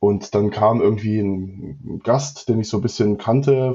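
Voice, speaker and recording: Somewhat breathy, a man's fairly low voice moves with fairly even intonation. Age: 30s. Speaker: managing partner of an electronics manufacturer. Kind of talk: interview. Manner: hesitant, many fillers and repetitions.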